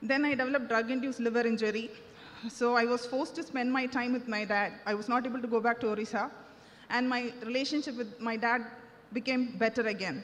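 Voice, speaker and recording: A woman's high voice at a very fast pace, fairly even in intonation, with noticeable background noise and audible room echo. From India, Tamil Nadu (Nagercoil). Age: 30s. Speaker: surgeon giving church testimony. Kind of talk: testimony. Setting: church service.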